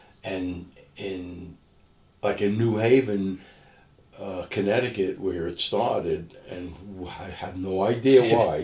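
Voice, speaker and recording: With a New York accent, a man speaks at a very slow pace in a dark, mellow, somewhat breathy tone at a fairly low pitch, his intonation fairly even and his pauses long and frequent. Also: big swings in loudness. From Brooklyn, New York. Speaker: former doo-wop singer, businessman and author. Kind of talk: interview answer.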